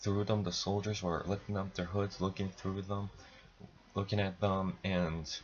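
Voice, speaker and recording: A man mumbles at a fairly slow pace in a fairly low pitch. His voice is somewhat breathy. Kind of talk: casual film review to camera. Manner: stuttering, mumbling.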